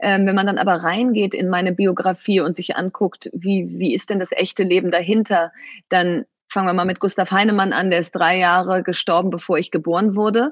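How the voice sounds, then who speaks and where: A plain, everyday voice from a woman, medium in pitch, with fairly even intonation at a moderate pace. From Germany, Bielefeld (East Westphalia). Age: 40s. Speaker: entrepreneur and author. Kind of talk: interview.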